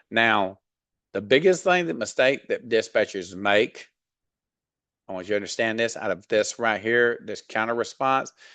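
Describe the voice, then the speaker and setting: Against a quiet background, a man speaks at a moderate pace. His medium-pitched voice has a bright, sharp tone. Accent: Southern US. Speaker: freight dispatch trainer. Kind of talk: tutorial. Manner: casual, many fillers.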